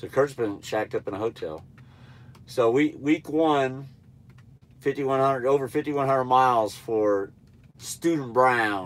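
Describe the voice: Slow and nasal, a man speaks at a medium pitch with ordinary pitch variation and long, frequent pauses.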